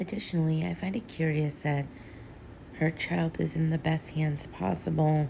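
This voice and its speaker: Here a woman is speaking. Her voice is soft-spoken. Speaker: social media commentator. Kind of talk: casual talk to camera. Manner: quiet, soft-spoken.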